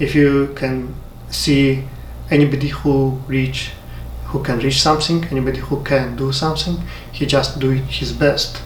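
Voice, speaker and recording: The man keeps a moderate pace as noticeable background noise and audible room echo fill the recording. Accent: Uzbek. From Uzbekistan. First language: Uzbek. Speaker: software developer. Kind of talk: motivational talk. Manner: halting.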